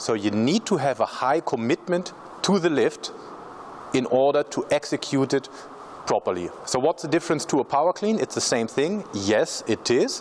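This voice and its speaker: A man with a German accent talks at a fairly high pitch, with very wide pitch swings and very even loudness. Noticeable background noise runs underneath. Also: moderate pace. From Germany. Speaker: strength coach. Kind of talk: tutorial.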